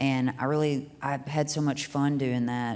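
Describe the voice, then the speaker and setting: Very deep, low-pitched woman's voice with a Kentucky accent and monotone, flat intonation. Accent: Southern US (Kentucky). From US South, Hickman, Kentucky. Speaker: singer-songwriter. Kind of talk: casual interview chat. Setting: live venue recording.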